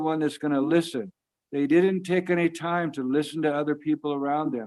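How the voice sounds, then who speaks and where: At a moderate pace, a man speaks in an ordinary speaking voice with a fairly high pitch and fairly even intonation. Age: 60s. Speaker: storyteller. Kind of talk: storytelling. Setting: video call.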